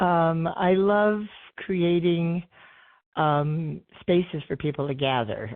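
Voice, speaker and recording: Pitch variation is ordinary as a woman talks. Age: 70s. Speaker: artist and musician. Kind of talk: interview. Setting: podcast interview.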